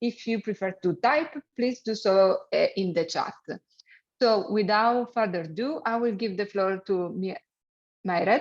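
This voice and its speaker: A fairly high-pitched woman with a strong Italian accent, at a fairly slow pace. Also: ordinary pitch variation. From Italy. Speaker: webinar moderator. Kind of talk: event moderation.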